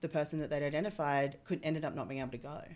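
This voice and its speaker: With an Australian accent, a woman speaks in a very deep, low voice and fairly even intonation. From Australia (Perth). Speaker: reservoir engineer. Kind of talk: podcast interview.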